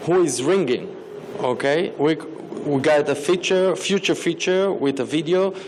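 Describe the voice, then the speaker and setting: Noticeable background noise and audible room echo surround a man with a non-native accent, speaking at a fairly slow pace with very even loudness. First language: not English. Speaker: startup founder pitching. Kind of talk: pitch Q&A answer. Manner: halting, many fillers.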